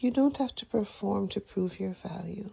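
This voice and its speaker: The speaker is soft-spoken with a gentle tone. The pace is fairly slow. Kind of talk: affirmation letter reading. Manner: gentle, comforting.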